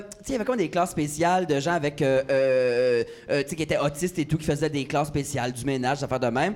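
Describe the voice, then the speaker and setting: A man's very fast speech against noticeable background noise. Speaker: comedian podcast host. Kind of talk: casual chat. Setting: stage with audience. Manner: animated.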